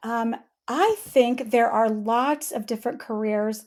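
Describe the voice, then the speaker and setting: A woman's high-pitched voice on a very clean recording with a silent background. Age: 60s. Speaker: sign language interpreter and business owner. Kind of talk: interview. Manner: few filler words.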